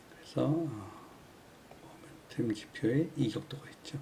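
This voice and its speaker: A man of medium pitch with lively intonation. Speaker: stock chart indicator instructor. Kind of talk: tutorial. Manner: fast; hesitant fillers.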